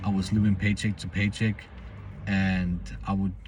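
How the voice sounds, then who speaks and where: A man with a non-native accent and a fairly low pitch speaks at a moderate pace. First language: not English. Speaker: self-improvement vlogger. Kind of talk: personal vlog monologue. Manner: halting, many false starts.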